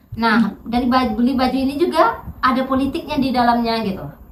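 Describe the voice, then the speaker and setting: A woman speaks at a fairly quick pace in a high voice, with audible echo from the room. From Riau, Indonesia (Pekanbaru area). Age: 30s. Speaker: political candidate. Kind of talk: interview. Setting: at her home. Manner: casual, conversational.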